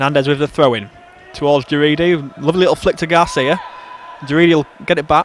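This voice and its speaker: Talking very fast with an English accent, a man holds a fairly high pitch and very even loudness over noticeable background noise. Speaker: football commentator. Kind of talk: live commentary. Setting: football stadium. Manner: clear and precise; animated.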